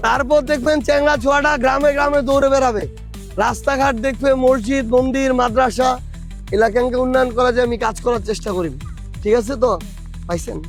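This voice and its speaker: Music plays behind a man speaking with a northern Bangladeshi accent. His pitch is extremely high, with fairly even intonation. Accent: northern Bangladeshi regional dialect. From Atwari, Panchagarh, northern Bangladesh. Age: 30s. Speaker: politician. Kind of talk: election campaign speech to local voters.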